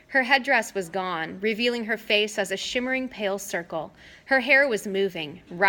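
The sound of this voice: Ordinary pitch variation within an unforced reading voice.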